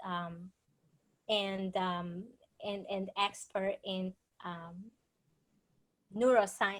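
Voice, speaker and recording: A woman speaks with a Spanish accent. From Dominican Republic. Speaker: author and speaker. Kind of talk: interview presentation.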